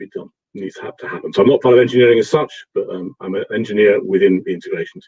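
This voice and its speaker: This man talks at a very fast pace with a British accent. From England. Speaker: integration consultant. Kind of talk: live tech webinar.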